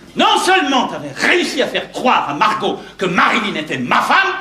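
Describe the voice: In a put-on character voice with very wide pitch swings, a man speaks high for a man with a bright, sharp tone, and the room echo is audible. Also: moderate pace.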